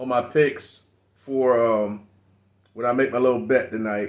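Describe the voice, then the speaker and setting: A man's medium-pitched voice with an animated tone. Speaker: fantasy football youtuber. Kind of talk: casual solo commentary. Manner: fast; animated, halting repetitions.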